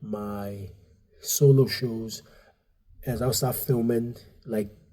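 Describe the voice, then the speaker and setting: At a very slow pace, a man speaks at a medium pitch with a dark, mellow tone. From Nigeria, raised partly in Dublin. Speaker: stand-up comedian and comedy club owner. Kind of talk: casual podcast interview. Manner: halting, many fillers and restarts; animated.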